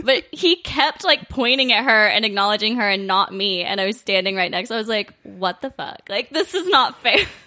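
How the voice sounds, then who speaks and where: A woman's fairly high, lively voice, a normal speaking voice. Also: moderate pace. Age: 20s. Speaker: guest. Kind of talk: casual chat.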